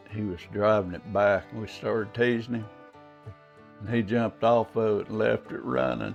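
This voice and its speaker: Music plays in the background as a man talks with a Southern US accent. His pitch is fairly low with ordinary pitch variation. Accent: Southern drawl. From Arkansas, southern US. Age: old. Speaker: carpenter. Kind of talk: interview answer.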